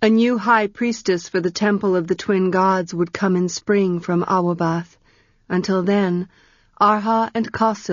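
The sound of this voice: Someone reads aloud in an unforced reading voice.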